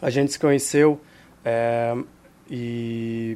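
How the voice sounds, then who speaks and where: The man speaks in a monotone with flat intonation. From Israel. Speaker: hostel and restaurant owner. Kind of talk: casual interview. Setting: studio.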